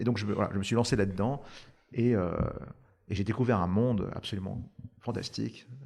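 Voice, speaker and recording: Speaking with vocal fry, a man shows ordinary pitch variation. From France. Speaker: startup founder. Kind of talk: podcast interview. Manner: hesitant, many fillers.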